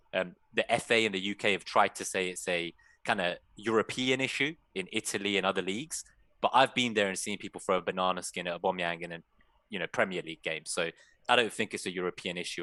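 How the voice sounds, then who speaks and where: A man with a London accent speaks at a very fast pace in a very deep, low voice with a bright, sharp tone and ordinary pitch variation. The sound is dry and close with no echo, over a quiet background. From England, London. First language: Persian. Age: 30s. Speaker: fantasy football content creator. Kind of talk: casual chat.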